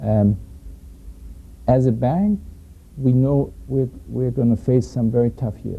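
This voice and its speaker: In a German accent, the speaker moves at a very slow pace with long, frequent pauses. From Germany. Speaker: banker. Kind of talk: roundtable discussion. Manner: halting.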